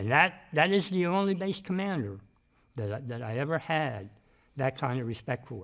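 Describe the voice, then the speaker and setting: With an American accent, a man with a fairly high pitch makes very wide pitch swings against a quiet background. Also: moderate pace. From Pennsylvania. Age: 70s. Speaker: warehouse supply technician. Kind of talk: interview testimony. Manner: halting, with many repeated words.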